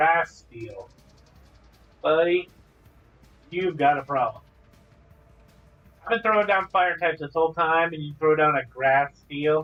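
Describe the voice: Music plays behind a man doing a put-on character voice, drawling with an Australian-free fairly high pitch at a moderate pace. He leaves long, frequent pauses.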